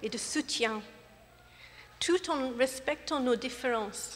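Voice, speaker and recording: Speaking at a very slow pace in an English accent, a woman has a high pitch with ordinary pitch variation. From England. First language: English (speaking French). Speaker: gospel choir director. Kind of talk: concert welcome speech. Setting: church with audience. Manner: hesitant, non-fluent French.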